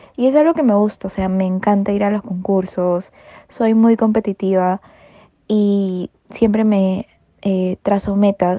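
A woman speaks at a fairly slow pace in a medium pitch, her intonation fairly even. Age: 20s. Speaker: marinera dancer. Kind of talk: interview. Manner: hesitant fillers.

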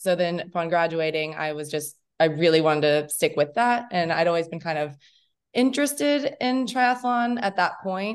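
A woman's fairly low voice with very wide pitch swings. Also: moderate pace, quiet background. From Kentucky, Lexington. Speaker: triathlete. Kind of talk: casual interview.

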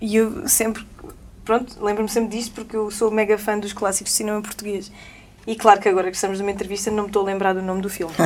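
A woman talks at a very fast pace in a monotone, flat intonation. Noticeable background noise can be heard. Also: medium pitch for a woman. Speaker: singer. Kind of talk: casual chat. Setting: studio.

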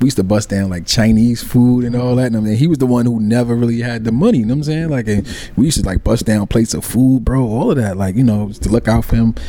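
Talking very fast with hardly any pauses, a man keeps a medium pitch and ordinary pitch variation over noticeable background noise. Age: 40s. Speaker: podcast co-host. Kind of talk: casual chat.

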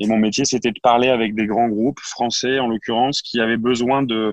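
Man at medium pitch, moderate pace and monotone, flat intonation, in a dry, close sound with no echo and a quiet background. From northern France, Lille. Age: 20s. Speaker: startup co-founder. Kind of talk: interview.

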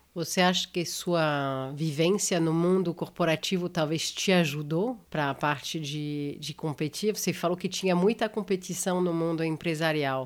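On a very clean recording with a silent background, a woman speaks with a French accent at a moderate pace, hardly pausing. Her pitch is fairly low and varies in an ordinary way. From France. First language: French (speaking Portuguese). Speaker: podcast host. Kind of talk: interview.

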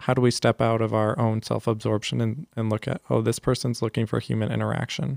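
A man with an American accent and an unremarkable speaking voice at a medium pitch, at a fairly quick pace with fairly even intonation, in a very clean recording with a silent background and a dry, close sound with no echo. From San Jose, California. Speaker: Jesuit volunteer and youth ministry guest. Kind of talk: casual podcast interview.

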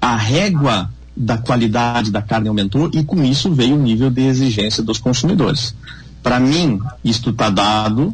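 With audible room echo, a man of medium pitch talks at a moderate pace, somewhat breathy, his loudness very even and his pitch varying an ordinary amount. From Brazil, Rio Grande do Sul border region. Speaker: veterinarian and beef marketing consultant. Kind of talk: radio panel discussion.

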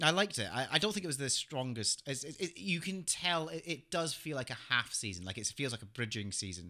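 A man's bright, sharp, medium-pitched voice with vocal fry and very wide pitch swings, at a fairly quick pace, on a very clean recording with a silent background. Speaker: podcast host. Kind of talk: casual comedic chat about TV and games.

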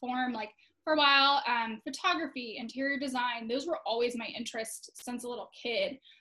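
Bright and sharp in tone, the voice proceeds at a moderate pace. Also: woman. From Florida. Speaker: social media agency owner. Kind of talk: casual interview.

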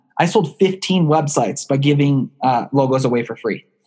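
Somewhat breathy, a man talks in a fairly high voice. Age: 20s. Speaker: online marketing entrepreneur. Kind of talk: podcast interview. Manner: animated.

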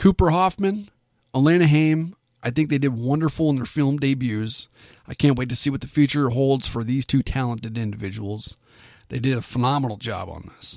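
Fairly quick speech from a man with an ordinary speaking voice, a medium pitch and ordinary pitch variation. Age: 30s. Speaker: film review podcast host. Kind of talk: solo podcast monologue. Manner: casual, filler-heavy.

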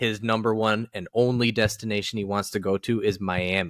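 At a moderate pace and fairly low pitch, a man talks in a normal speaking voice with fairly even intonation, on a very clean recording with a silent background. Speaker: podcast host. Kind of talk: casual chat between two stepbrothers. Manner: casual, joking, laughs often.

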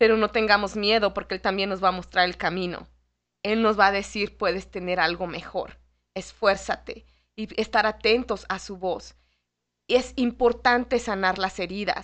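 A woman with a normal speaking voice talks at medium pitch and a fairly slow pace. Her intonation is fairly even over a quiet background. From Mexico City. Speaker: lay ministry instructor. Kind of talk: radio interview on faith. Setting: radio studio.

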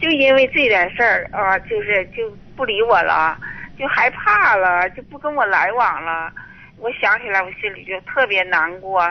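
A woman talks at a fairly slow pace and medium pitch, her intonation lively and her loudness swinging widely. Background noise is noticeable. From Northeast China. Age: 70s. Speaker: caller. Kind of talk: phone-in conversation. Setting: phone call.

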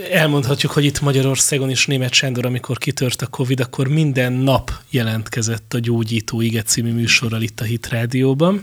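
A man in an ordinary speaking voice talks at a moderate pace and medium pitch, with fairly even intonation and hardly any pauses. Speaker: radio host. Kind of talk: interview. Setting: studio.

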